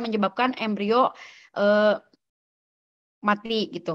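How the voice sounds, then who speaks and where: A woman speaks at a moderate pace with a fairly high pitch against a quiet background. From Sumedang, West Java, Indonesia; West Java, Indonesia. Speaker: veterinary student; presenter. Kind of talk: student podcast presentation. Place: home room. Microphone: video call.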